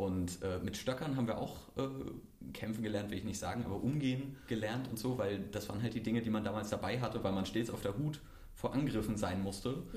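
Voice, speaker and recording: In a room with audible echo, a man with a fairly low pitch and ordinary pitch variation speaks at a fairly quick pace. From Mecklenburg-Vorpommern, Germany. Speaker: podcast host. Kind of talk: casual chat.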